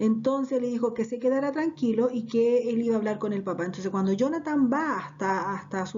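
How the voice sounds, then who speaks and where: A woman's lively intonation over noticeable background noise. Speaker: Bible teacher. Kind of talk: Bible class. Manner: conversational storytelling.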